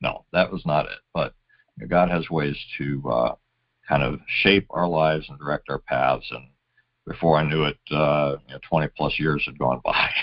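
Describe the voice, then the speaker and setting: A man's very deep, low voice with vocal fry, fairly even intonation, and a moderate pace. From USA (moved around, Navy family). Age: 60s. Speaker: retired army officer, nonprofit founder. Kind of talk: interview. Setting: podcast. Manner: halting, many fillers.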